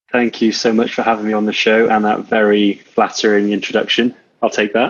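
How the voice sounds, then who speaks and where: With a slight Welsh accent, a man speaks fairly quickly at a fairly low pitch, his intonation monotone and flat and his loudness very even. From Wales. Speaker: coach and entrepreneur. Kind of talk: interview.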